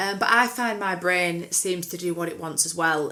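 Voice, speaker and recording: Spoken in an English accent, the voice shows ordinary pitch variation. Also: woman. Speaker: podcast co-host. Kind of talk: casual chat. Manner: fast.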